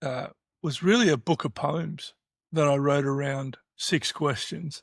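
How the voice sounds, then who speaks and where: In a dry, close recording with no echo, a man with an Australian accent speaks at a fairly slow pace, his fairly high, somewhat breathy voice showing ordinary pitch variation. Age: 60s. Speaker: podcast host. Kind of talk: casual chat. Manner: halting.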